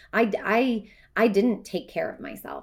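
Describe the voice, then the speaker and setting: A woman uses a normal speaking voice at a moderate pace with ordinary pitch variation. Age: 40s. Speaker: life coach and podcast co-host. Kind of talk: casual chat.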